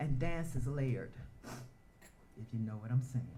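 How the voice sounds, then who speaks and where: A somewhat breathy voice with a dark, mellow tone, ordinary pitch variation and an American accent. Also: woman. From US South, Atlanta, Georgia. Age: 70s. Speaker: dancer and performer, award honoree. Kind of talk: spoken word performance and personal testimony.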